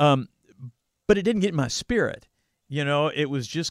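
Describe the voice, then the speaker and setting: A man uses a normal speaking voice, moving at a fairly quick pace with lively intonation. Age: 50s. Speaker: podcast host, former youth pastor. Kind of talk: casual chat. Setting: video call from home.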